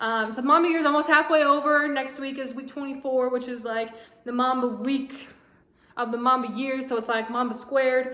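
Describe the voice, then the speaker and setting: A woman projects her voice in a high pitch with monotone, flat intonation. Noticeable background noise and audible room echo surround her. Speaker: vlogger. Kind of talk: casual vlog monologue. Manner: fast.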